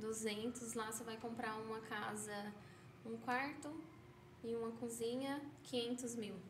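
A woman's fairly high, monotone, flat voice at a very slow pace with long, frequent pauses, amid noticeable background noise and audible room echo. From São Paulo, Brazil. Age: 20s. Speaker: pizzeria owner, entrepreneur. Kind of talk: podcast interview.

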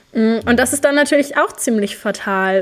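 This woman has a normal speaking voice, pitched fairly high, and speaks at a fairly slow pace. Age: 20s. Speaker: climate activist and student. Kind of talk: casual interview.

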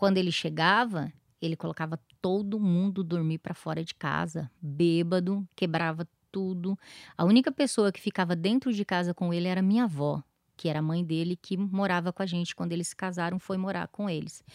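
Fairly quick speech from a woman in an unremarkable speaking voice, dry and close with no echo, on a very clean recording with a silent background. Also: fairly low pitch for a woman, ordinary pitch variation. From southern Brazil, interior of Paraná. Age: 40s. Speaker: founder of a support association for abuse victims. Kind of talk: interview, personal testimony.

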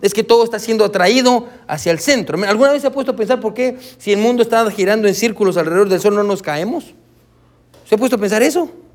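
A high-pitched man at a very fast pace, with ordinary pitch variation. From Guatemala. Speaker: pastor. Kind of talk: sermon. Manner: halting.

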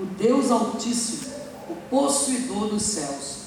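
Against noticeable background noise and audible room echo, a man speaks at a fairly slow pace in a high voice. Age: 40s. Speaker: pastor. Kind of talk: sermon. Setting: church.

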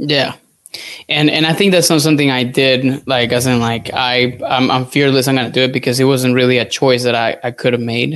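A man with a Spanish accent speaks at a fairly quick pace in a medium pitch, his loudness very even and his intonation fairly even, against a quiet background. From Venezuela. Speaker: dietitian. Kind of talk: casual chat. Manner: halting.

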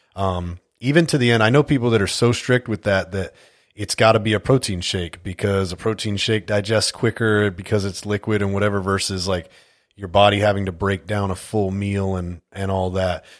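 This man's voice sits fairly low and moves at a moderate pace with fairly even intonation. It is an unremarkable speaking voice. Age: 40s. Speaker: podcast host and fugitive recovery agent. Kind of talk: casual chat.

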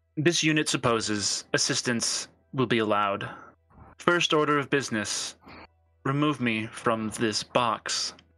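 Putting on a robotic character voice, a man speaks at medium pitch and a moderate pace. Faint music plays in the background. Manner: flat, mechanical, formal.

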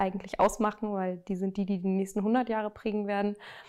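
A woman speaks at a medium pitch. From Germany, Münster (North Rhine-Westphalia). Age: 30s. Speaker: sustainability professional. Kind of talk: interview. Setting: outdoors.

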